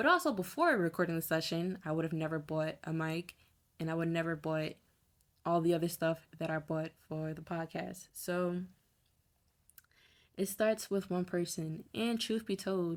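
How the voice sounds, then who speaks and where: A woman speaks quietly at a moderate pace, with fairly even intonation and long, frequent pauses. The recording is very clean, with a silent background. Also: fairly low pitch for a woman. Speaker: podcast host. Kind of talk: casual personal monologue. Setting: home recording at night. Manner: quiet because late at night.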